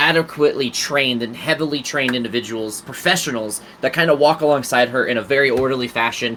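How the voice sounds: The voice reads in a natural way. Its pitch varies by an ordinary amount.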